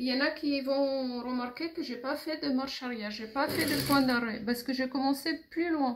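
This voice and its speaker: The woman's voice sits at a high pitch. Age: 60s. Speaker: seamstress. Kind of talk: tutorial.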